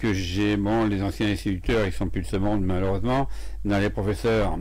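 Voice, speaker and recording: Moderately paced speech with fairly even intonation and audible room echo. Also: man, very even loudness. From France, Berry (Indre, Châteauroux). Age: 70s. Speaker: herbalist and author. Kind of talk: radio interview. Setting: radio studio. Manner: halting, many hesitations.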